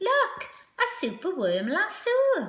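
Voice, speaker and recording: A woman's put-on character voice, squeaky and extremely high, with a warm tone. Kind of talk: bedtime story. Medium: read story. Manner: warm, rhythmic.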